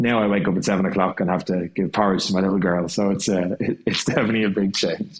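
A man's very deep, low voice in an Irish accent, very fast with hardly any pauses, monotone and flat, at very even loudness. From Ireland. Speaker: jazz and swing singer. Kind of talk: casual chat.

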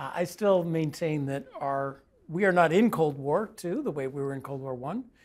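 In an unremarkable speaking voice, the speaker talks at a moderate pace with ordinary pitch variation on a very clean recording with a silent background. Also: man. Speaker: economist and panelist. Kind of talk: panel discussion. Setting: studio.

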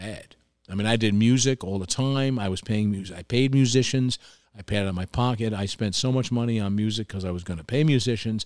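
A man's fairly low voice with a New York accent, fairly quick, with ordinary pitch variation. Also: very clean recording, silent background. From New York, Hudson Valley (Tarrytown). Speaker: restaurant owner. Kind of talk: casual chat.

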